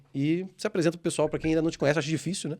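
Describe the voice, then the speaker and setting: Recorded very cleanly with a silent background, a man speaks in a dry, close sound with no echo. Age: 30s. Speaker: podcast host, franchise owner. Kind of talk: casual interview chat.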